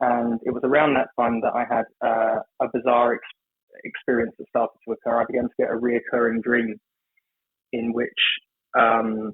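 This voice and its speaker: A man talks at a moderate pace with an English accent, leaving long, frequent pauses. His intonation is monotone and flat. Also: medium pitch for a man. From England, London. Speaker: ceremonial magician. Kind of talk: podcast interview. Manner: hesitant, many fillers.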